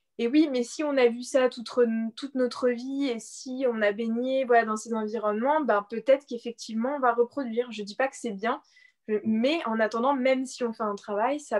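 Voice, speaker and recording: A woman with a high pitch keeps a moderate pace and fairly even intonation. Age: 20s. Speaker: blogger and personal development coach. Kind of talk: interview.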